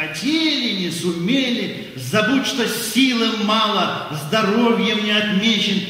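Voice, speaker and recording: A raised, projected voice at a very slow pace, with strong room echo. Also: man. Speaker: priest. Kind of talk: poetry reading. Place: stage.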